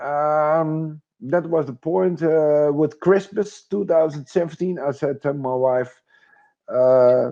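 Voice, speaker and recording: With a Dutch accent, a man speaks very slowly in a dark, mellow tone at a fairly high pitch, with ordinary pitch variation and a quiet background. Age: 50s. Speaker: retired military, crypto investor. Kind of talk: interview. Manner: halting.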